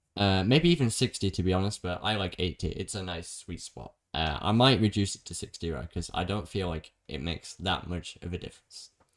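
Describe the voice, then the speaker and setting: A man's very deep, low voice at a fairly quick pace, with ordinary pitch variation, big swings in loudness, hardly any pauses, and a very clean recording over a silent background. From Britain. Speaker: gaming streamer. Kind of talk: tutorial. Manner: fast; casual.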